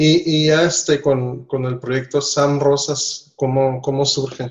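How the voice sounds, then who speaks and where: A man speaks in an ordinary speaking voice. His pitch is medium and his pace fairly slow. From Nicaragua. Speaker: podcast host. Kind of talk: casual chat. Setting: home office, remote call.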